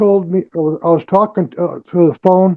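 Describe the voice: A man with a high voice speaks at a fairly slow pace, his intonation fairly even.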